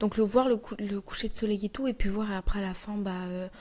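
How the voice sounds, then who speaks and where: A soft-spoken, somewhat breathy woman at a fairly high pitch, moderate pace and fairly even intonation. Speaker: podcast host. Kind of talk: casual monologue. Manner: unscripted, rambling with fillers.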